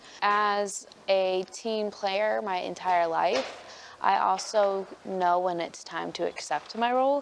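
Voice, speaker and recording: Medium in pitch, a woman's voice moves with ordinary pitch variation. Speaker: college athlete. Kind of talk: interview.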